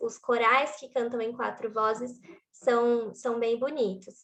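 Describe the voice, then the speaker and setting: The speaker is a woman. Her pitch is high. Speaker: worship music trainer. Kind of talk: training workshop.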